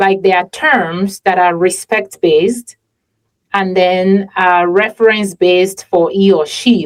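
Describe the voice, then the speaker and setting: With a Yoruba accent, a woman talks at a very slow pace in a medium pitch, her pitch varying in an ordinary way. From Nigeria. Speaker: podcast host. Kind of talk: casual interview conversation.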